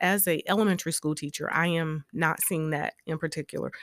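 A woman with a South Carolina accent speaks in a very deep, low pitch with fairly even intonation, the sound dry and close with no echo on a very clean recording with a silent background. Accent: US Southern (South Carolina). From South Carolina, Orangeburg. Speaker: educator and political candidate. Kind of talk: interview. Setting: studio.

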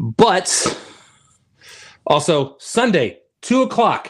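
An animated tone with very wide pitch swings in an American accent. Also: man. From Texas. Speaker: sports podcast co-host. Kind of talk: casual sports chat livestream.

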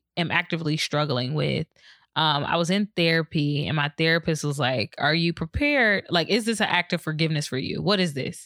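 With an ordinary speaking voice, a woman of fairly low pitch talks at a moderate pace with ordinary pitch variation, in a very clean recording with a silent background and a dry, close sound with no echo. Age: 20s. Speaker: podcast host. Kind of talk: personal monologue. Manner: casual, conversational.

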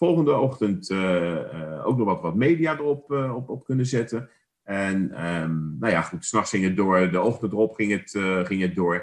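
Very wide pitch swings run through speech delivered at a fairly slow pace. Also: man, fairly low pitch for a man. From The Hague, Netherlands. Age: 50s. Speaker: podcast co-host. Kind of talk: casual chat.

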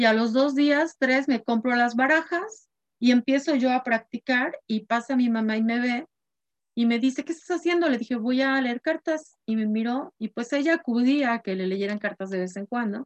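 The woman's voice is high in pitch. The recording sounds dry and close, without any echo. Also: ordinary pitch variation, moderate pace. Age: 50s. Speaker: spiritual guide and card reader. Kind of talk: course introduction talk.

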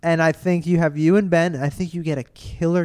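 A man with an ordinary speaking voice talks at a fairly high pitch and a moderate pace. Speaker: comedian. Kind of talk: casual chat. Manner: mumbles.

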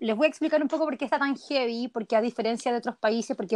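Her pitch high and her tone animated, a woman speaks with a dry, close sound with no echo. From Chile. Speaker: emigrant interviewee. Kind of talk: casual interview.

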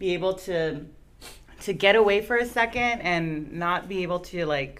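Here is a woman with an American accent and an ordinary speaking voice. Her pace is moderate and her pitch varies in an ordinary way. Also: medium pitch for a woman. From Los Angeles. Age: 40s. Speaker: lowrider business owner and nonprofit organizer. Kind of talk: casual interview chat.

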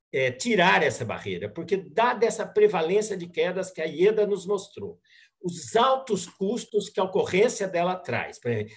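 Here a man talks with a high pitch and lively intonation. His pace is fairly slow. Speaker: gerontology channel co-host. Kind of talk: interview questions.

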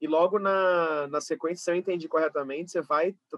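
With an ordinary speaking voice, a man talks at a moderate pace and with fairly even intonation. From Brazil, Rio de Janeiro west zone. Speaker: interviewer, curator. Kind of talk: interview conversation. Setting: video recording.

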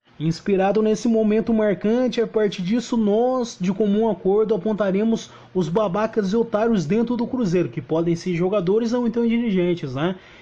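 The speaker talks at a moderate pace with hardly any pauses, very even loudness and ordinary pitch variation. Noticeable background noise runs underneath. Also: man, high pitch for a man. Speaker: football podcast host. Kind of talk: casual chat.

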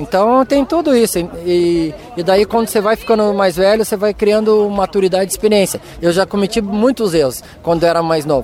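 Over noticeable background noise, a man with a high voice talks at a fairly quick pace, his loudness very even and his pitch varying in an ordinary way. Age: 40s. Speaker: runner and physiotherapist. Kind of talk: post-race interview.

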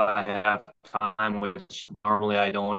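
A man with a bright, sharp tone speaks at a very slow pace. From Minnesota (Waconia). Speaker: stock car racer and landscaper. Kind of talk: casual interview. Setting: video call.

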